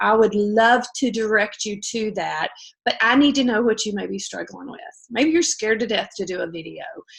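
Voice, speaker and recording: A woman with a fairly high voice and ordinary pitch variation talks at a moderate pace. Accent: Southern US. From US South. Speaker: direct sales team leader. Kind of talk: casual livestream pep talk.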